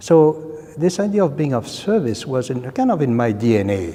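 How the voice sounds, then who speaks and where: A man's words come through noticeable background noise. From France. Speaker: civil engineering professor. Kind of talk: interview.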